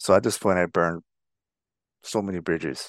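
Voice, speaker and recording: In an American accent, the voice comes at a moderate pace with a dry, close sound and no echo. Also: man. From Navajo Nation, Arizona. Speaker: recovering alcoholic and army veteran. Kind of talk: personal recovery story interview. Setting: video call.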